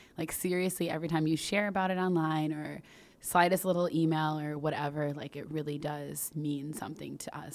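A woman with an American accent talks at a moderate pace in a very deep, low pitch. Her intonation stays fairly even. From US suburbs. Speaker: podcast host and founder. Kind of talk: casual chat.

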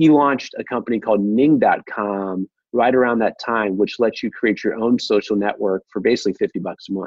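Here a man with an American accent uses a normal speaking voice at medium pitch. His pace is moderate and his pitch varies in an ordinary way. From US Midwest, Ohio. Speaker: govtech entrepreneur. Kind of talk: interview.

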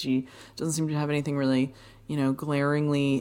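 A woman speaks in a very deep, low voice. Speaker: movement teacher and podcast host. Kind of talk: casual chat. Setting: studio.

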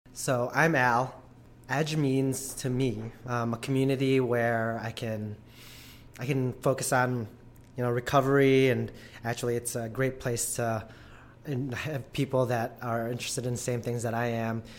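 Monotone, flat delivery from a man at medium pitch and moderate pace. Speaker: gym member, trail runner. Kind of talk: casual interview.

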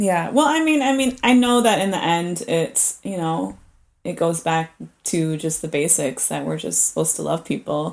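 The speech moves at a moderate pace. The recording is very clean with a silent background. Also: woman. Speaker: musician and artist. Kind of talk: casual chat. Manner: halting, filler-heavy.

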